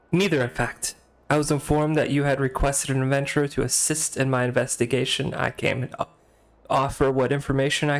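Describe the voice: What you hear is simple, unadorned reading aloud.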